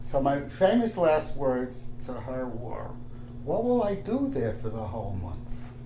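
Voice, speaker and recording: Fairly slow male speech in a room with audible echo and noticeable background noise. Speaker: interviewee recalling summer community. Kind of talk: oral history interview. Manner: halting, many fillers.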